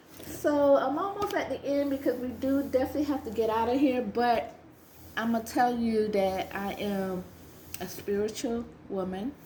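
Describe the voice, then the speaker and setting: Over noticeable background noise, a woman speaks at a moderate pace in a high, animated voice with lively intonation and long, frequent pauses. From US South, South Carolina Lowcountry (Gullah region). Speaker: vintage reseller vlogger. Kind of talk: casual vlog. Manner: conversational, animated.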